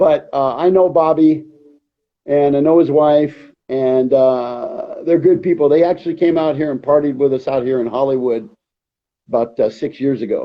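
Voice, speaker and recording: A man at a moderate pace, a normal speaking voice, fairly high in pitch with ordinary pitch variation. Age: 50s. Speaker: reality TV repo agent. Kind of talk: live interview.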